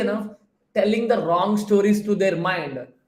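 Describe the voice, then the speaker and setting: A man with a Telugu accent speaks at a moderate pace in a high, animated voice, with audible echo from the room. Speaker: productivity coach. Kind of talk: live stream Q&A talk. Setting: live stream with chat.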